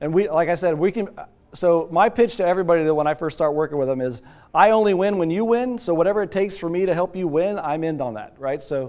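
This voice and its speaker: At a very fast pace, a man speaks with a high pitch and ordinary pitch variation. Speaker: telecom sales representative. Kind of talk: sales pitch.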